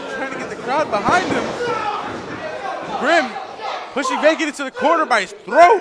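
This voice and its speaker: The speech moves at a moderate pace with long, frequent pauses. Loud background noise is present. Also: man. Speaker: wrestling commentator. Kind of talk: live wrestling play-by-play commentary. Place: hall.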